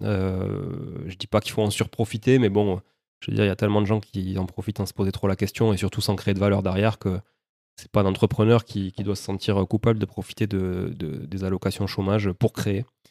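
Recorded dry and close with no echo over a silent background in a very clean recording, a man speaks at a fairly quick pace and fairly low pitch, his intonation monotone and flat. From Toulouse, southern France. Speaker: real estate investor. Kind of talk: interview.

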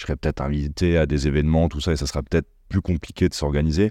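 Over a quiet background, a man with a very deep, low pitch talks at a very fast pace in a dark, mellow tone, with fairly even intonation and a dry, close sound with no echo. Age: 30s. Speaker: entrepreneur, former footballer. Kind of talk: casual chat.

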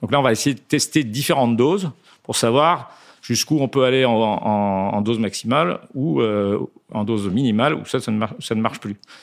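A man speaks at a medium pitch with ordinary pitch variation. His pace is moderate, and the recording is very clean with a silent background. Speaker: pharmaceutical company executive. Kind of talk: interview. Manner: hesitant, frequent fillers.

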